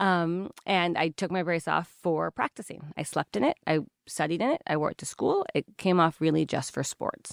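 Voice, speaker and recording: It is a normal speaking voice with ordinary pitch variation, a moderate pace, hardly any pauses and very even loudness, on a very clean recording with a silent background. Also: woman, fairly low pitch for a woman. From Washington State (Olympia). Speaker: dermatologist and skincare founder. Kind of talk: casual interview.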